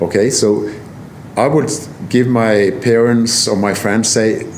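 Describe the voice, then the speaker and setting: Amid noticeable background noise and audible room echo, a man with a Norwegian accent speaks at a very slow pace. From southern Norway, Kristiansand. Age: 60s. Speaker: motorcycle traveller and photographer. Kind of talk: casual interview.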